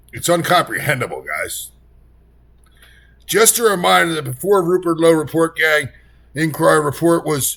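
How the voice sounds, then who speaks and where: A man's fairly high-pitched voice with a bright, sharp tone, in a very clean recording with a silent background. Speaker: political commentator. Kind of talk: reaction commentary. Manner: animated; loud, yelling.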